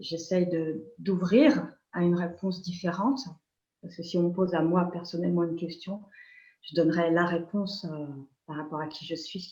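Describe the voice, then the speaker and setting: In a room with audible echo, a woman speaks at a moderate pace with long, frequent pauses and big swings in loudness. Her fairly low, somewhat breathy voice has a dark, mellow tone and fairly even intonation. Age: 60s. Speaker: nurse and energy healer. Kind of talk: interview. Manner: halting.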